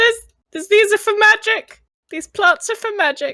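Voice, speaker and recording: A woman uses a put-on character voice at an extremely high pitch. She speaks at a moderate pace. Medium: game stream.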